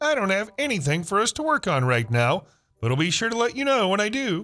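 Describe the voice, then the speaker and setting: A man puts on a character voice at a fairly quick pace. It sits high in pitch and swings very widely. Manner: falsely friendly, chirpy.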